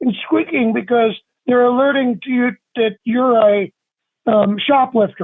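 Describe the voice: Speaking at a fairly slow pace, a man uses an extremely high pitch with ordinary pitch variation.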